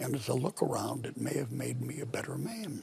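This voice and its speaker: A man with an American accent talks in a relaxed tone against noticeable background noise. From Pennsylvania. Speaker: war veteran; politician. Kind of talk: interview answer. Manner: relaxed, slow.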